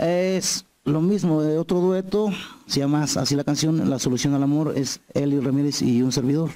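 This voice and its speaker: Against a quiet background, a man with a fairly high pitch and a dark, mellow tone speaks at a moderate pace and very even loudness. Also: ordinary pitch variation. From Mexico, Morelos; Mexico. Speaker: singer-songwriter; guest. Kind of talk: interview. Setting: TV studio set. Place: studio. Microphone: handheld.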